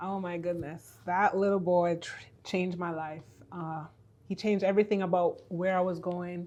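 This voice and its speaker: Speaking at a moderate pace with a Jamaican accent, the voice has a dark, mellow tone and flat, monotone intonation. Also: woman, fairly low pitch for a woman. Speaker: faith-based business and purpose coach. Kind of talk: podcast interview.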